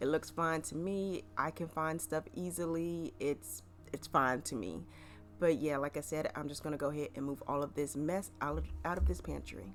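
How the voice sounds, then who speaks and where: Over music in the background, a woman with a very deep, low pitch speaks at a moderate pace with very wide pitch swings. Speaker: cleaning vlogger. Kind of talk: voiceover narration. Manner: casual.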